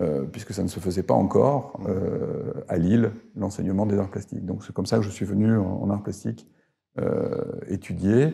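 Over a quiet background, a man speaks at a moderate pace with a fairly low pitch and ordinary pitch variation. His tone is dark and mellow, with vocal fry. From northern France, Arras; France. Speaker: professor emeritus; professor emeritus, interviewee. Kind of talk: interview. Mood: calm, reflective. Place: home room. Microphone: lapel.

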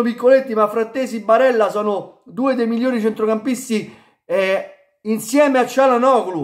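A man speaks at an extremely high pitch with ordinary pitch variation against a quiet background. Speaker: football YouTuber; football commentator vlogger. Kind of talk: video commentary monologue. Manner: halting, stammering. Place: home room. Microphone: phone near.

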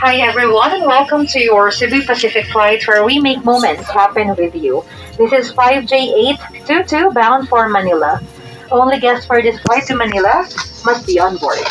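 Clear music plays behind a woman who talks fairly slowly in a high voice. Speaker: cabin crew announcer. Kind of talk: scripted public announcement. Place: plane. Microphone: pa.

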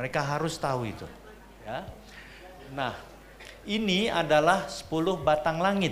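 Over light background noise, a man speaks at a fairly slow pace with a fairly high pitch and lively intonation. Long, frequent pauses and big swings in loudness mark his delivery. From Jakarta, Indonesia. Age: 60s. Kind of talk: seminar lecture. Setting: seminar room with audience. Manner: animated. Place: hall. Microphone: handheld.

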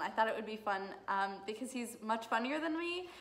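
A woman is talking. Her pace is fairly quick. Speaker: law student vlogger. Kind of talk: casual vlog chat. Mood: cheerful, a bit giggly. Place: home room. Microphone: phone near.

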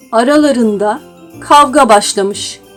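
Over music in the background, a woman talks at a very slow pace with lively intonation. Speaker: voice narrator. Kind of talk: children's story reading.

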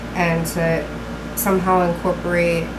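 A woman talks over loud background noise. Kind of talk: cooking tutorial. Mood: calm, friendly. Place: kitchen. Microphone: camera far.

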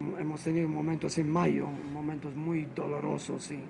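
A man with a non-native accent and a fairly high pitch, over clear music in the background. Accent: foreign accent in Spanish. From Malta. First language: Maltese (speaking Spanish). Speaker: priest and doctor; priest. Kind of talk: interview. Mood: earnest, reflective.

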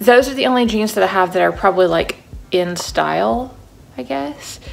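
Over faint background music, a woman talks at a fairly quick pace. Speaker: vlogger. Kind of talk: casual vlog chat. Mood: anxious but chatty. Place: home room. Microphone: phone near.

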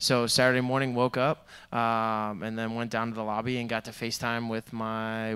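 A man speaks at a medium pitch with a clear, smooth tone that is fairly bright. There is little pitch movement.

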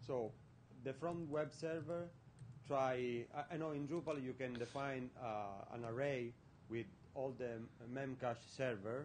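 With a non-native accent, a man talks at a very slow pace in a medium pitch with ordinary variation, over light background noise. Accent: foreign-accented English. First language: not English. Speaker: audience member asking question; audience member. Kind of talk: Q&A question. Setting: conference room with audience. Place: hall.

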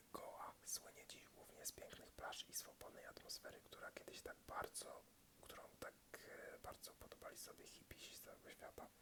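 Whispering, a man speaks at a moderate pace. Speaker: ASMR content creator. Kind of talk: ASMR book review, casual talk to camera.

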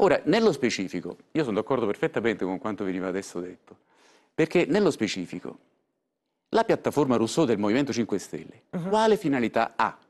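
A man talks at a very fast pace. His pitch swings very widely. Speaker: senator and former party member. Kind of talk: heated political argument, interrupting and retorting. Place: studio. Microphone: lapel.

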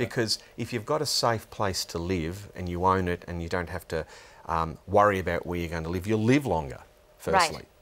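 A man's very deep, low voice at a moderate pace. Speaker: guest. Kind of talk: interview answer. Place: studio. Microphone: lapel.

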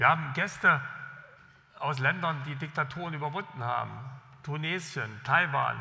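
With a bright, sharp tone and vocal fry, a man speaks at a fairly high pitch, leaving long, frequent pauses. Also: ordinary pitch variation, moderate pace. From East Germany, Jena; East Germany. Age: 60s. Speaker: government official, former journalist; former journalist. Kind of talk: keynote speech. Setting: stage with audience. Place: hall. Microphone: podium.

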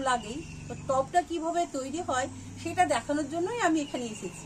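There is light background noise as a woman talks in a high pitch with ordinary pitch variation. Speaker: gardening channel host. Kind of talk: casual vlog chat. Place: street.

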